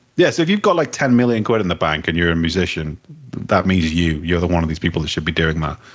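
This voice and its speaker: A man with an English accent talks at a very fast pace in a very deep, low voice, his pitch rising and falling in an ordinary way. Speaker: podcast co-host. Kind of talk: casual chat.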